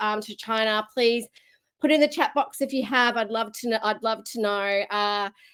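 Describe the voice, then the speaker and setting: In an Australian accent, a woman speaks at a moderate pace and fairly high pitch with ordinary pitch variation, on a very clean recording with a silent background. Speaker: keynote speaker. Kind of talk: keynote talk.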